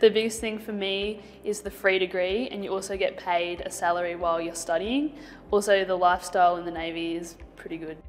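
A woman speaks at a fairly quick pace with big swings in loudness and ordinary pitch variation. Faint music plays in the background. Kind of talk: interview answer. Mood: friendly, positive. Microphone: lapel.

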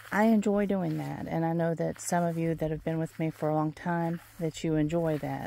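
A woman talks in a dark, mellow tone with ordinary pitch variation. The sound is dry with no echo. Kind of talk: casual vlog chat. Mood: relaxed, reflective. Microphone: phone near.

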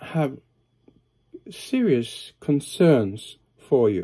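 A man's dark, mellow voice against a quiet background. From Norway. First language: Norwegian. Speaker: pastor and psychiatric hospital worker. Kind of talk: sermon-style video talk. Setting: home study, recording alone. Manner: hesitant, many filler uhs. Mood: earnest, calm. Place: home room. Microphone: phone near.

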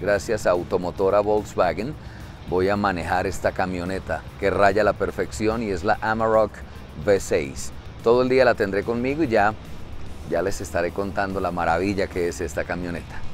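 Music plays in the background. Over it, a man speaks with a fairly low pitch. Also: ordinary pitch variation, moderate pace, dry sound with no echo. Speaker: radio host testing a truck. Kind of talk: promotional vlog chat. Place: street. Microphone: phone near.

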